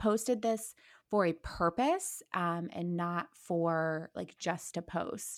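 A woman speaks in a normal speaking voice at medium pitch. The recording is very clean with a silent background. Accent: American. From Ohio, Akron. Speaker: social media creator. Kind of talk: casual chat.

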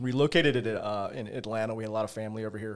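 Over a very clean recording with a silent background, a man with a fairly low pitch talks very fast with fairly even intonation. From Virginia, US. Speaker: pain physician and practice owner. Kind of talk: casual interview. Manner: halting, many fillers and repeats.

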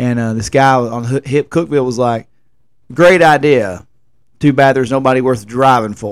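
With a Tennessee accent, a man talks at a fairly quick pace using fairly even intonation. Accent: Southern US, rural Tennessee. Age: 30s. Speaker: podcast host and music festival promoter. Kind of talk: casual solo podcast monologue. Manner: rambling, informal.

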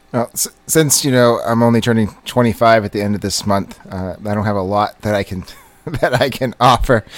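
An ordinary speaking voice at a moderate pace, with ordinary pitch variation, big swings in loudness and hardly any pauses. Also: man, medium pitch for a man. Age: 40s. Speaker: podcast co-host. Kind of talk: casual chat.

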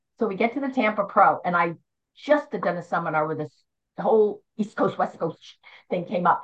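A woman's somewhat breathy, medium-pitched voice with an American accent, a fairly quick pace and lively intonation. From Philadelphia area, US Northeast. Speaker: bodybuilding judge, retired nurse. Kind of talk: interview, casual conversation.

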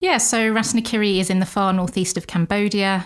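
A woman with an English accent speaks at a fairly quick pace and a medium pitch, in monotone, flat intonation. The recording is very clean, with a silent background. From England. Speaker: missionary Bible teacher. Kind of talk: interview.

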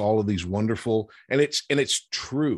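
In an ordinary speaking voice, a man talks at a moderate pace with a fairly low pitch and ordinary pitch variation against a quiet background. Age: 50s. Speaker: actor and TV writer. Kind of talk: casual chat.

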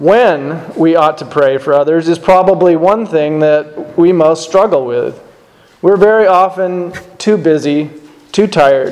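The voice has a solemn tone and very even loudness at a fairly slow pace. Background noise is noticeable. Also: man, fairly high pitch for a man, ordinary pitch variation. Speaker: lay preacher. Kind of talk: sermon. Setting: church. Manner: formal.

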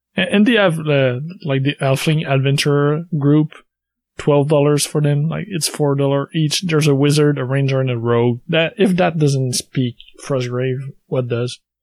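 Here is a man with an ordinary speaking voice, pitched fairly high. He talks at a fairly slow pace with ordinary pitch variation. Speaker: podcast co-host.

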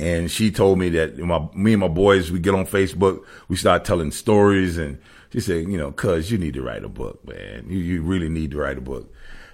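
Very deep, low-pitched man's voice with lively intonation and a fairly quick pace, in a very clean recording with a silent background. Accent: Southern US. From US South, Savannah, Georgia. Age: 50s. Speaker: former pro football player. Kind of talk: casual interview.

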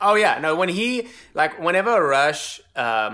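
A man is speaking. His tone is bright and sharp. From South Africa. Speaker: drummer and online drum educator. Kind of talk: casual interview chat. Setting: video call.

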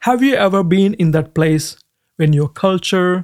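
High-pitched speech from a man with lively intonation. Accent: non-native. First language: not English. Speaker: Bible teacher. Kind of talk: sermon.

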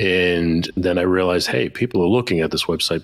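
A man with an American accent speaks at a very deep, low pitch with fairly even intonation. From Boston, US. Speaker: leadership coach and speaker. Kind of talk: casual interview. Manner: soft-spoken, calm.

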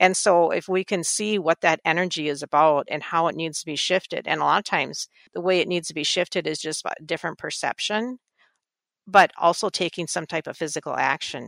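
On a very clean recording with a silent background and a dry, close sound with no echo, a woman talks at a fairly quick pace, her fairly low pitch showing ordinary pitch variation. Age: 60s. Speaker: energy healing practitioner. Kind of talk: interview.

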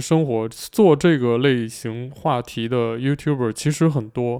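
A man talks at a fairly slow pace in a relaxed way, his pitch medium with ordinary variation. His tone is dark and mellow. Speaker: airline pilot and YouTuber. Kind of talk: casual solo podcast chat. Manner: relaxed with many fillers.

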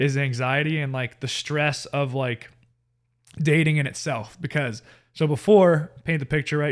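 An unremarkable speaking voice from a man with an American accent, fairly high in pitch, fairly even in intonation and moderate in pace, on a very clean recording with a silent background. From US South, Marietta, Georgia. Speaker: church youth leader. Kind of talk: casual chat, personal testimony.

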